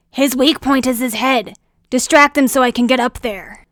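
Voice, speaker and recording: Putting on a growling character voice, a woman speaks high-pitched at a moderate pace. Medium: read story. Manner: serious, brisk.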